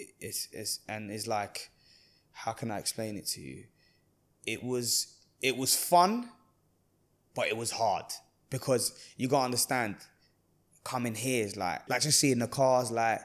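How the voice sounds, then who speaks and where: A man with a London accent speaks at a medium pitch and a fairly slow pace, with fairly even intonation. His loudness swings widely, and he leaves long, frequent pauses. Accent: London English (multicultural London). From Iraq (Baghdad), then southwest London from age 9. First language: Arabic. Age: 30s. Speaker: barber and entrepreneur. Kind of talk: casual interview chat. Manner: casual, halting with repetitions.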